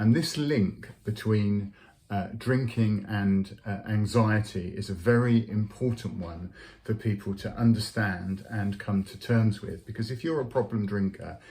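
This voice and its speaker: A man with a fairly low pitch and a dark, mellow tone speaks at a fairly slow pace, somewhat breathy, with fairly even intonation. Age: 60s. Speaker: clergy vlogger on sobriety. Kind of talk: personal testimony vlog. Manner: halting, many fillers.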